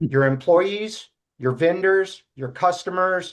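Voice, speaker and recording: A man talks with ordinary pitch variation. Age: 60s. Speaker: leadership consultant and author. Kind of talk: interview. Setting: fireside chat. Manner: halting.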